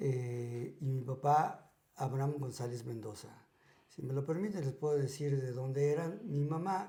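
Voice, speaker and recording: A man with a fairly high voice speaks at a fairly slow pace with ordinary pitch variation, and the room echo is audible. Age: 60s. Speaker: podcast guest sharing life stories. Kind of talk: casual interview.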